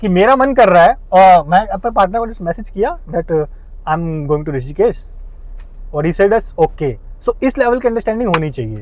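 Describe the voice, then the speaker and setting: A man speaks in a high voice with lively intonation, keeping a moderate pace. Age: 30s. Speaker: vlogger. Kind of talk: casual vlog monologue. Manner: animated.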